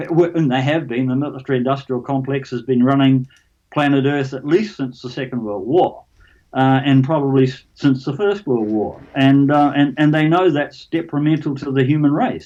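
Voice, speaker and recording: A man's fairly high voice with a New Zealand accent, dark, mellow tone, ordinary pitch variation and moderate pace. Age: 70s. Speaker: alien abduction experiencer. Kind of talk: interview. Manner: halting, repeats words.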